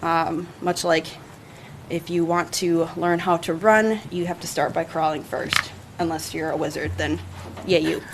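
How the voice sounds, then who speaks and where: A woman's fairly low voice in a monotone, flat delivery. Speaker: city parks and recreation staff member. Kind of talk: presentation to city council. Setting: city council meeting.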